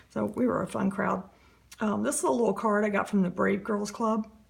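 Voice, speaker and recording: Over noticeable background noise, a woman speaks fairly quickly at medium pitch with ordinary pitch variation. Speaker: journaling vlogger. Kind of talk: casual show-and-tell tutorial. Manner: hesitant, many fillers.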